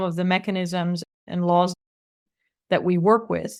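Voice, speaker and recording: A woman with a Dutch accent is heard on a very clean recording against a silent background. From Netherlands. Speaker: author and tech policy expert. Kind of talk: interview.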